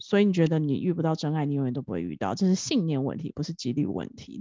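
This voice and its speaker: A woman with a plain, everyday voice and fairly low pitch speaks at a fairly quick pace. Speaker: podcast co-host. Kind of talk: casual chat. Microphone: new professional microphone.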